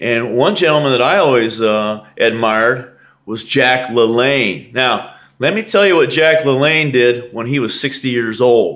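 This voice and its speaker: A man with an American accent speaks at a fairly slow pace. His pitch variation is ordinary, and the background is quiet. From United States. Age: 60s. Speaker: bodybuilder; fitness trainer. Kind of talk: vlog commentary. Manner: emphatic. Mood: earnest, motivating. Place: home room. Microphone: webcam.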